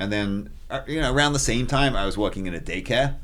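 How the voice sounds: Pitched fairly low, a man speaks fast with ordinary pitch variation.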